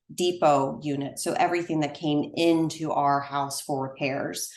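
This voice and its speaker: Amid audible room echo, a woman with an American accent speaks at a moderate pace in a very deep, low pitch with monotone, flat intonation. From US South, South Carolina. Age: 40s. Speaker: partner development manager and podcast host. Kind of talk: casual interview chat. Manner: hesitant, many fillers.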